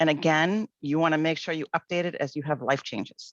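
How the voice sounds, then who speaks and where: Ordinary pitch variation in a dry, close sound with no echo, over a quiet background. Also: woman. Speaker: financial advisor. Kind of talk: workshop presentation. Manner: fast.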